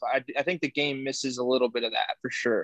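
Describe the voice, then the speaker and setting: A man with a Texan accent speaks fairly quickly at a fairly high pitch, the sound dry and close with no echo. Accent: Texan American. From Houston, Texas. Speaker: podcast co-host. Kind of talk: casual chat.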